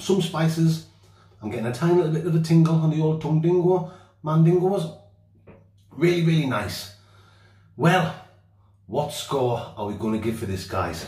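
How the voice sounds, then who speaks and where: In a quiet background with audible room echo, a man speaks at a moderate pace, leaving long, frequent pauses. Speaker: outdoor vlogger. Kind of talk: casual vlog chat. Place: bathroom. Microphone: phone near.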